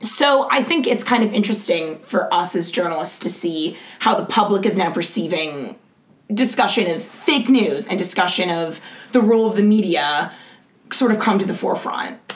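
At a moderate pace and medium pitch, a woman talks with lively intonation over noticeable background noise. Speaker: podcast co-host. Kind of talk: casual political chat podcast.

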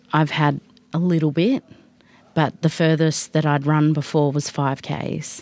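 A woman with an Australian accent has a very deep, low pitch. She talks at a fairly slow pace with monotone, flat intonation. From Central Australia, Alice Springs. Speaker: marathon project squad member. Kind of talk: radio interview.

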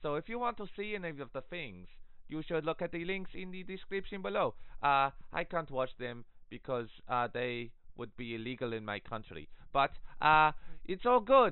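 At a moderate pace, a man speaks with a fairly high pitch that swings very widely. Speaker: streamer. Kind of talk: casual chat. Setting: stage with audience.

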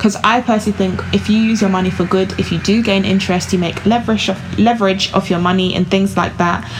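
Over noticeable background noise, a woman speaks very fast at medium pitch in a monotone, flat intonation, with very even loudness and hardly any pauses. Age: 20s. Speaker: podcast host, finance site founder. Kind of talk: casual chat.

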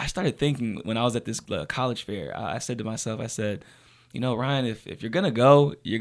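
Speaking at a fairly quick pace with ordinary pitch variation, a man with an unremarkable speaking voice and medium pitch is heard in a very clean recording with a silent background. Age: 20s. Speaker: university student. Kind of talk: interview. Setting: studio.

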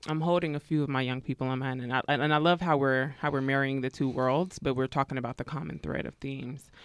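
A woman with an American accent speaks at a very fast pace in a very deep, low pitch with ordinary pitch variation. The recording is very clean with a silent background, and the sound is dry and close with no echo. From US West Coast, East Bay Area, California. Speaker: therapist. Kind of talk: casual chat.

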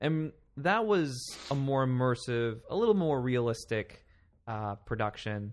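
Against a quiet background, a man with an American accent and a plain, everyday voice talks at a fairly slow pace and a medium pitch, with lively intonation. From Palm Springs, California. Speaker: theatre director. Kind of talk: casual interview chat.

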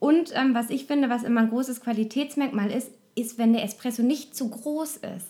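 High-pitched female voice, its pitch moving in an ordinary way. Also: moderate pace. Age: 30s. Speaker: podcaster. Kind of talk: casual chat.

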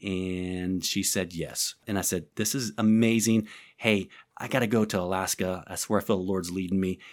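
On a very clean recording with a silent background, a man speaks at a moderate pace in a very deep, low pitch. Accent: American. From southern Illinois. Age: 40s. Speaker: pastor and prayer ministry leader. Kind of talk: interview conversation. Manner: animated.

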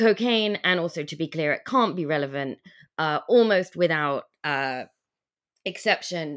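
A woman with an English accent speaks at a moderate pace with a fairly low pitch and lively intonation, leaving long, frequent pauses. The recording is very clean, with a silent background. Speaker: writer and teacher. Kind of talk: interview. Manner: hesitant, many fillers.

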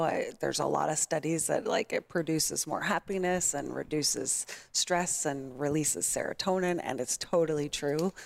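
In a very clean recording with a silent background, a woman talks at a moderate pace in a Californian accent. Her pitch is fairly low, with ordinary pitch variation. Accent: American (Californian). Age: 30s. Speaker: nonprofit kindness project founder. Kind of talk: casual interview.

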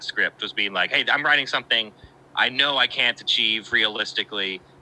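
Against noticeable background noise, a man with an American accent speaks at a moderate pace. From West Virginia. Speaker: filmmaker and editor. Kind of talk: casual chat.

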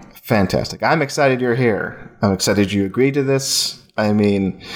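A man with a fairly low voice and ordinary pitch variation talks while noticeable background noise carries on. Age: 30s. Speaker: podcast host and film site editor. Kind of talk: casual chat. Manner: halting.

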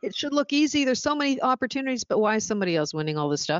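With a Canadian accent, a woman speaks in an animated tone with very wide pitch swings. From Canada (Ontario, Oshawa). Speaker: business consultant. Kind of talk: interview. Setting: phone call.

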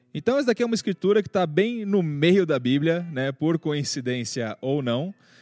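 Pitched fairly high, a man speaks at a moderate pace with very wide pitch swings and hardly any pauses, in a dry, close sound with no echo. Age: 30s. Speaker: podcast host. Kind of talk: casual chat.

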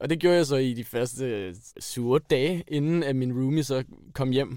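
With a dark, mellow tone, a man talks at medium pitch with ordinary pitch variation in a very clean recording with a silent background. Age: 20s. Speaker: engineering student. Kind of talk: interview.

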